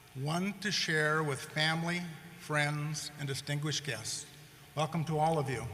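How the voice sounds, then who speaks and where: At a moderate pace, the speech comes through with audible room echo and noticeable background noise. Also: man. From rural North Dakota, US Midwest. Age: 60s. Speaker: commencement speaker. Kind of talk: commencement speech. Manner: formal.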